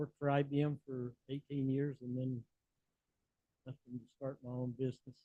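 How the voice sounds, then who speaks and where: A man with a Southern US accent talks at medium pitch and a moderate pace, his intonation monotone and flat. He leaves long, frequent pauses. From US South. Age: 80s+. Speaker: business founder and conference speaker. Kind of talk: conference talk.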